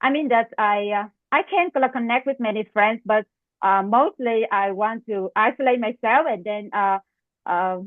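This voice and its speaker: The woman's pitch is fairly high, with ordinary variation. She speaks at a moderate pace in a Vietnamese accent. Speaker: medical residency applicant. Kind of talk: mock job interview. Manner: halting, many fillers.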